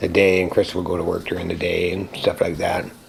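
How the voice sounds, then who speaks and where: Noticeable background noise is present. A man speaks very fast over it. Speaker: house painter and roofer. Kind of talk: interview answer.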